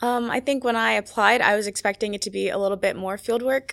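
An ordinary speaking voice with an American accent talks at a fairly quick pace with fairly even intonation. The recording is very clean, with a silent background. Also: woman. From Maryland, US East Coast. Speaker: undergraduate researcher. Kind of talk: casual interview. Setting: studio around a table.

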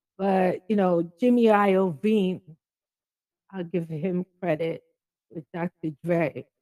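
With a dark, mellow tone and medium pitch, a woman speaks at a very slow pace with long, frequent pauses and ordinary pitch variation, the sound dry and close with no echo. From Jamaica. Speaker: caller. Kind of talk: casual chat.

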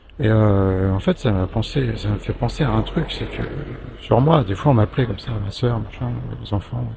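Noticeable background noise accompanies a man with a fairly low voice. He keeps a moderate pace, and his pitch swings very widely. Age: 50s. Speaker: hospitalized patient and podcaster. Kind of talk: personal audio diary. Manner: hesitant, many fillers.

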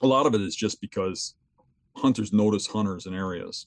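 A fairly low-pitched man with a Wisconsin accent and fairly even intonation, in a dry, close sound with no echo. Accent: Upper Midwest (Wisconsin). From southeastern Wisconsin. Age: 50s. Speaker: big game hunter and gear designer. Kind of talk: interview on hunting.

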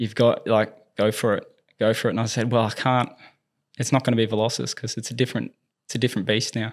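A man with an Australian accent speaks very fast at a medium pitch, in monotone, flat intonation. He leaves long, frequent pauses, and the recording is very clean with a silent background. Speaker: movement specialist and tennis coach. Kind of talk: casual interview chat.

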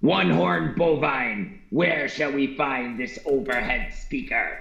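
Putting on a character voice, a man speaks fairly high and fairly slowly, with a slight echo. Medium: actual play. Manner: formal, stilted, literal.

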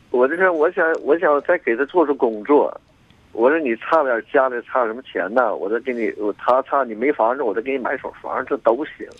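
With a fairly high pitch, a man speaks at a moderate pace. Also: ordinary pitch variation. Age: 60s. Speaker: caller. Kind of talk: phone-in conversation. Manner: halting.

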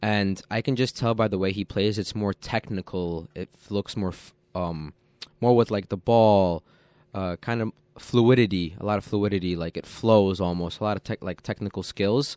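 A man with a fairly low pitch talks at a moderate pace in an ordinary speaking voice, his intonation fairly even. The sound is dry and close with no echo, against a quiet background. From US, child of Polish immigrants. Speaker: college soccer player. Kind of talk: radio interview. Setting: radio studio.

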